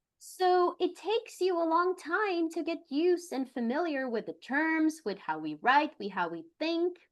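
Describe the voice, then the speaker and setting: Against a quiet background, a woman with a Brazilian accent speaks fairly slowly in a high pitch with very wide pitch swings. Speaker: attorney. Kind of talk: interview.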